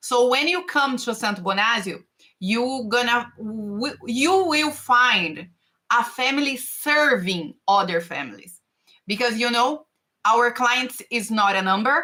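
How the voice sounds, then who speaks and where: In a Brazilian Portuguese accent, a woman speaks at a fairly slow pace with a high pitch, a bright, sharp tone and lively intonation. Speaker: tax and finance consultant. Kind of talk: live stream talk. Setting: live stream. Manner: halting.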